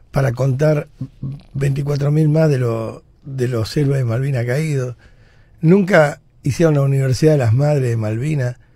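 A man talks at a moderate pace in a somewhat breathy voice with a dark, mellow tone and ordinary pitch variation. The sound is dry with no echo, over a quiet background. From Argentina. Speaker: radio host. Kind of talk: radio editorial, opinionated rant. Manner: indignant, forceful. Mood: indignant, combative. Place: studio. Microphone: studio mic.

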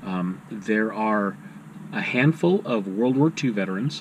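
A man speaks at a fairly low pitch and a fairly slow pace. His intonation is lively, and room echo is audible.

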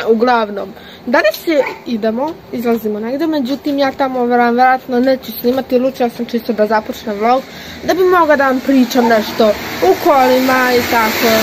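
Against noticeable background noise, the voice keeps a moderate pace and ordinary pitch variation. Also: woman, high pitch for a woman. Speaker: vlogger. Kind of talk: casual vlog chat. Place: street. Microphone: phone near.

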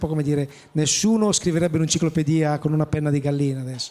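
This is a man with an unremarkable speaking voice. His pitch is fairly high, with ordinary pitch variation. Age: 50s. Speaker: chef, president of professional cooks' association; panelist. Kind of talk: panel discussion at trade fair. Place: hall. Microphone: handheld.

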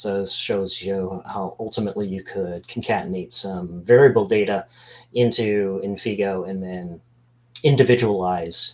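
With a plain, everyday voice, a man talks at a fairly slow pace in a fairly low pitch with ordinary pitch variation. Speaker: business analyst; webinar presenter. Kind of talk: webinar product demo. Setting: video call. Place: home room. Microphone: video call.

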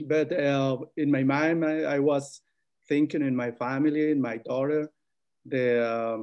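Fairly slow, fairly even speech in a Spanish accent against a quiet background. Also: man. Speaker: migrant farm worker; panelist. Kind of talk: webinar panel testimony. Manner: halting. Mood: earnest, serious. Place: home room. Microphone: video call.

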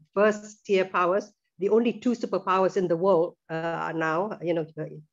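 In a plain, everyday voice, a woman with a fairly low pitch talks at a fairly quick pace with fairly even intonation against a quiet background. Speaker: presenter. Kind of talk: lecture. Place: home room. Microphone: video call.

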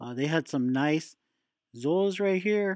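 A male voice talks at a moderate pace, and the background stays quiet. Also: dry sound with no echo. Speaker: reef hobby channel host. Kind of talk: casual vlog chat. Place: shop. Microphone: phone near.

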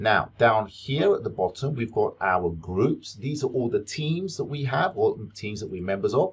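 Somewhat breathy speech at a moderate pace over a quiet background. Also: man. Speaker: teacher making a software tutorial. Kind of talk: tutorial.

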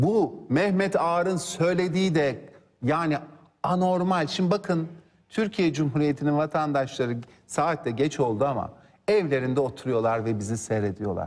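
Speaking at a moderate pace, a man uses lively intonation at a fairly high pitch, keeping his loudness very even. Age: 50s. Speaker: lawyer and politician; lawyer, politician. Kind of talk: TV political interview. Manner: animated. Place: studio. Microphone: lapel.

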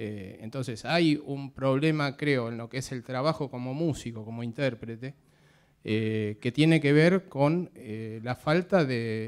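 A man with a normal speaking voice talks at a fairly slow pace and a medium pitch, with ordinary pitch variation. His loudness swings a lot. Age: 50s. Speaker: drummer, audience member. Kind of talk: audience question.

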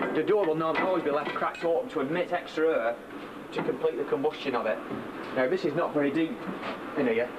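This man talks very fast with ordinary pitch variation against noticeable background noise. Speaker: steam driving instructor. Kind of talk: tutorial. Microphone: old recording.

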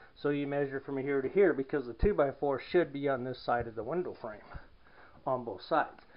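The speaker moves along at a fairly quick pace with ordinary pitch variation. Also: man. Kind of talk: tutorial. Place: home room. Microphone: phone near.

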